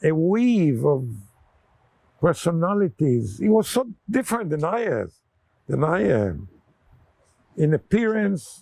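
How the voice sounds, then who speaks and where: Very slow and full of long, frequent pauses, a man speaks in a high pitch with very wide pitch swings and a dark, mellow tone. The sound is dry and close, with no echo. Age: 80s+. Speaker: war veteran. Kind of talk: oral history interview.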